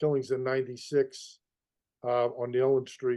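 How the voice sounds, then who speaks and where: A man of medium pitch speaks with a Boston accent. His intonation stays fairly even at a moderate pace. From Boston, East Boston. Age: 60s. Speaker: mob tour guide. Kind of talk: interview conversation. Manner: halting, many repetitions.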